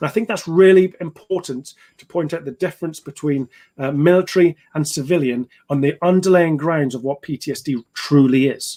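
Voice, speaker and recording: A man with a British accent, fairly high in pitch, ordinary pitch variation, big swings in loudness and a fairly quick pace, recorded dry and close with no echo. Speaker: ex-soldier and trauma therapist. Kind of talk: educational talk on live stream. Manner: fast; halting with fillers.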